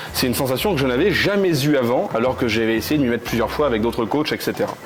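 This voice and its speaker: The speech races along at a very fast pace with very even loudness. Noticeable background noise sits behind it. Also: man, medium pitch for a man, lively intonation. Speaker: mentalist. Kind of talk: casual chat.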